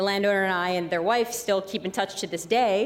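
A woman's medium-pitched voice with an American accent, very fast, with fairly even intonation. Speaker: nonprofit executive director. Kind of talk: interview conversation.

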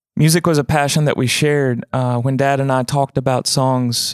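An unremarkable speaking voice from a man at medium pitch and a moderate pace, fairly even in intonation, with a dry, close sound and no echo. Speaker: podcast host and singer-songwriter. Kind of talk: casual interview chat. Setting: studio.

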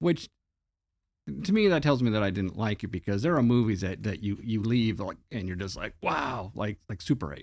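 The recording is very clean, with a silent background. An ordinary speaking voice with an American accent talks at a moderate pace, with lively intonation. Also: man, fairly low pitch for a man. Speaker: movie podcast co-host, former model shop prop maker. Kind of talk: casual chat.

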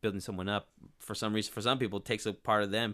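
A man with an American accent speaks at a fairly low pitch. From Northern California (Turlock area). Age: 30s. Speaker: local TV and sports broadcaster. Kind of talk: casual interview. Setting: studio. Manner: energetic.

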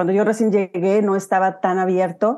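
A woman's medium-pitched voice, dark and mellow in tone, at a moderate pace with fairly even intonation. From Huasteca, Mexico. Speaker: real estate investor. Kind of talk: casual interview.

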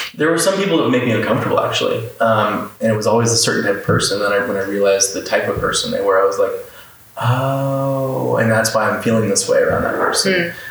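A man talks at a very fast pace amid noticeable background noise. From Florida, Orlando. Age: 30s. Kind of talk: casual chat. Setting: in person at a home.

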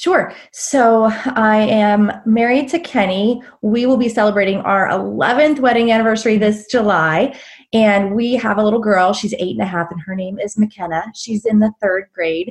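Her pace is moderate with hardly any pauses, and she sounds somewhat breathy. The woman's fairly high pitch shows ordinary variation. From Pittsburgh area, Pennsylvania. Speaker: business coach and entrepreneur. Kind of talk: casual interview chat.

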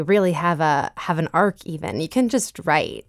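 A woman speaks at a fairly slow pace in an American accent, her pitch fairly low, an unremarkable speaking voice. The recording is very clean with a silent background, and the sound is dry and close with no echo. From Boston, Massachusetts (Jamaica Plain). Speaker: singer-songwriter. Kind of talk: radio interview.

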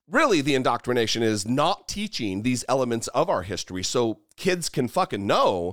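A man with an American accent speaks at a medium pitch and a moderate pace, his voice swinging very widely in pitch, in a very clean, dry, close recording with no echo and a silent background. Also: hardly any pauses. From US, northern Idaho. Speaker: YouTube host and podcaster, ex-Marine. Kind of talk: casual interview. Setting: in person recording. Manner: halting, repeats words.

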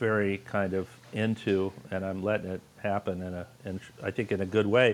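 The man has an American accent and a fairly low pitch. He talks at a fairly slow pace with flat, monotone intonation. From Los Angeles. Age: 60s. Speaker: artist and teacher. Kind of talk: casual chat.

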